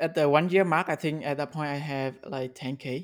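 Fairly even intonation marks this man's fairly high-pitched speech. He speaks with a non-native accent. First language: not English. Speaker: indie app developer. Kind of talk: casual interview. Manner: halting, with fillers and repeats.

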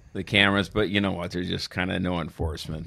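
In an Upper Midwest accent, a man speaks with a very deep, low pitch and fairly even intonation on a very clean recording with a silent background. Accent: Upper Midwest (Minnesota). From Saint Paul East Side, Minnesota. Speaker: former police officer. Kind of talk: casual chat.

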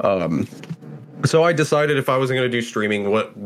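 Noticeable background noise sits behind the speaker, a man. He talks at a moderate speed, and his pitch moves in an ordinary way. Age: 20s. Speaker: podcast co-host and streamer. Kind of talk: casual chat.

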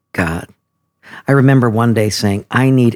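A man speaks at a medium pitch. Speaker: pastor. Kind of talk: casual interview conversation.

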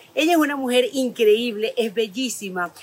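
A woman's high voice, animated in tone with ordinary pitch variation, at a fairly slow pace amid noticeable background noise. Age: 50s. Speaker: podcast host. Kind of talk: casual interview. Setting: outdoors in a botanical garden.

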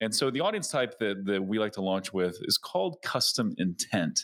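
An unremarkable speaking voice from a man with lively intonation and a moderate pace, in a very clean recording with a silent background. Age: 40s. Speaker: YouTube advertising agency head. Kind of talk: podcast interview.

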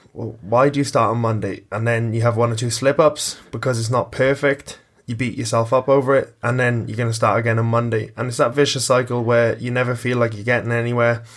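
The man's medium-pitched voice moves at a fairly quick pace with hardly any pauses. His intonation is monotone and flat. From Ireland, lived back and forth in Wales. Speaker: gym coach and podcast host. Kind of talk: casual chat, podcast.

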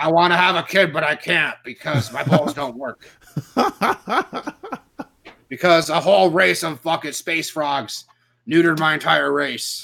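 Putting on a character voice, a man talks at a moderate pace with a fairly high pitch and long, frequent pauses. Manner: bitter, gruff.

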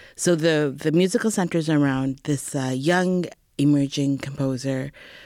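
On a very clean recording with a silent background, a woman with a Canadian accent speaks slowly at a very deep, low pitch with ordinary pitch variation. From Edmonton, Alberta, Canada. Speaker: dance reviewer and Kathak dancer. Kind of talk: casual interview chat. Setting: studio.

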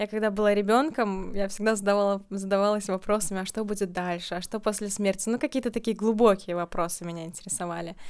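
A woman at a very fast pace with hardly any pauses, medium pitch and fairly even intonation, on a very clean recording with a silent background. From Latvia, Riga. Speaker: birth-date numerology consultant. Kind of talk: casual interview.

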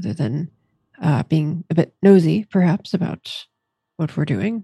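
A woman speaks with a dark, mellow, somewhat breathy tone and lively intonation. Her pace is moderate, and the sound is dry and close with no echo. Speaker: tabletop player. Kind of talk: actual-play tabletop roleplaying game, casual chat.

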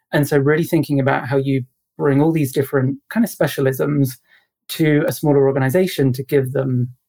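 A British-accented man speaks at a moderate pace with a fairly high pitch. His voice is somewhat breathy, with fairly even intonation. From UK. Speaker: HR consultant. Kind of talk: interview.

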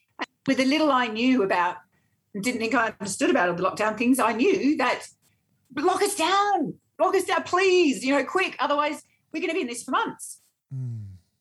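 A woman's high voice in an Australian accent, with very wide pitch swings. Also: moderate pace. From Australia, Sydney. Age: 50s. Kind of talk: casual interview.

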